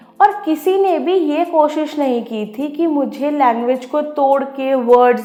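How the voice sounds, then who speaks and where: With music in the background and audible room echo, the speech comes in an Odia accent with ordinary pitch variation. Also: woman. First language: Odia (speaking Hindi). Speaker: educator. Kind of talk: educational talk.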